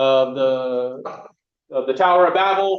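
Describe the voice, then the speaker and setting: A man speaks with ordinary pitch variation. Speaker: bible study teacher. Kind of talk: bible study lesson with group discussion. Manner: halting, many repeated words and fillers.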